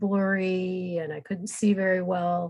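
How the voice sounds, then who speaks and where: A woman's plain, everyday voice at medium pitch, fairly slow, with fairly even intonation over a quiet background. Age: 60s. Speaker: guest with multiple sclerosis. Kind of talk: interview. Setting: podcast recording.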